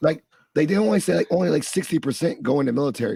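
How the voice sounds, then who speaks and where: A man's fairly high, somewhat breathy voice with a dark, mellow tone, very fast pace and lively intonation, in a dry, close sound with no echo. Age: 30s. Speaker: podcast host and higher education professional. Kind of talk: interview conversation. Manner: animated.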